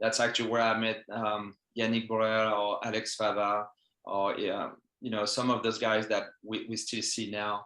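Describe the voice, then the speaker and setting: Speaking at a moderate pace with a French accent, a man has a medium-pitched voice with a bright, sharp tone and monotone, flat intonation. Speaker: fencing coach. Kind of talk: interview. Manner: halting.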